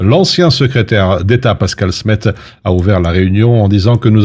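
The speaker is a man with a somewhat breathy voice. He talks at a moderate pace. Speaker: radio news presenter. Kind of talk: news reading. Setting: studio.

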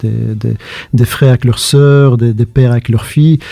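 Here a man speaks in a plain, everyday voice at a medium pitch and moderate pace, with ordinary pitch variation. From Brussels, Belgium. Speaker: playwright and stage actor. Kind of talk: casual chat.

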